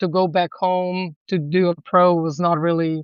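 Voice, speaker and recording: The speaker has a Serbian accent and a moderate pace. The intonation is monotone and flat. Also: woman. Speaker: volleyball coach. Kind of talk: podcast interview.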